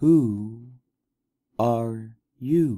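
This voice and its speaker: In a put-on character voice, the speaker drawls at a low pitch. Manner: lazy, drawling.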